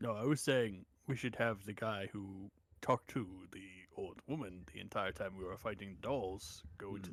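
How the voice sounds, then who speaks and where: Using a put-on character voice, a man speaks at a fairly low pitch. The recording is very clean, with a silent background. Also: moderate pace. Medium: actual play. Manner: sarcastic, blunt.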